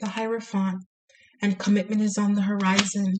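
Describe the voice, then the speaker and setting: Her voice is medium in pitch, somewhat breathy, with a dark, mellow tone. The woman keeps a moderate pace and a flat, monotone intonation. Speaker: tarot reader. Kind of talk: tarot reading monologue. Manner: quiet, soft-spoken; hesitant with fillers.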